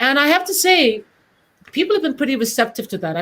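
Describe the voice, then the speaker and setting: Talking at a very fast pace, a woman uses a high pitch with very wide pitch swings. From Britain. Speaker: casting director. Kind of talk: panel discussion.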